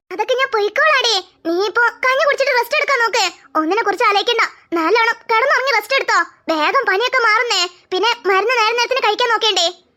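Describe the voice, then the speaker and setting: A woman's cartoonish character voice, extremely high in pitch, fairly quick and very even in loudness. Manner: calm, reassuring.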